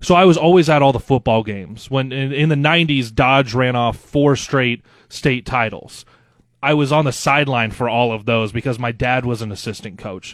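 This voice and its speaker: A man with an American accent and a normal speaking voice, at a moderate pace with ordinary pitch variation. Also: medium pitch for a man. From Nebraska. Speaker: radio co-host and sports director. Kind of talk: casual chat. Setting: home basement.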